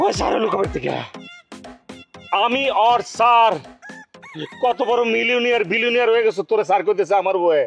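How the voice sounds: A put-on character voice with vocal fry and a fairly bright tone, at a fairly quick pace with long, frequent pauses and ordinary pitch variation, over faint music in the background. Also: man, high pitch for a man.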